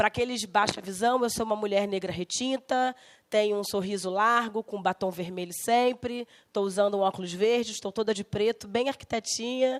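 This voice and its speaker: In a plain, everyday voice, a woman with a fairly high pitch talks at a moderate pace and with fairly even intonation, in a very clean recording with a silent background and a dry, close sound with no echo. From Rio de Janeiro, Brazil (West Zone). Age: 40s. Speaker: architect and politician. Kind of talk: guest lecture.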